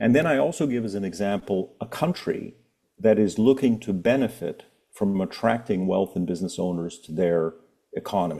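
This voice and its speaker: With a Canadian accent, a man speaks at a moderate pace in a fairly low pitch, his dark, mellow tone carried by lively intonation. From Canada. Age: 60s. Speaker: author and family wealth advisor. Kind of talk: podcast interview. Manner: measured, explanatory.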